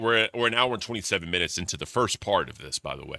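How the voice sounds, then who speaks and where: Recorded very cleanly against a silent background, this dry, close voice with no echo has a bright, sharp tone, vocal fry and an animated tone. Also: man. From US South. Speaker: commentary streamer. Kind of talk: live reaction commentary. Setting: livestream. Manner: casual, animated.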